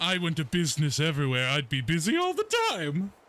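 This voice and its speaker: A man puts on a character voice with a warm tone and fairly high pitch. He talks at a very fast pace. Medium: actual play. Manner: warm, campy, calls people dear.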